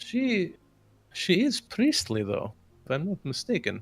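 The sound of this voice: A put-on character voice moves at a fairly slow pace with very wide pitch swings. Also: man, high pitch for a man.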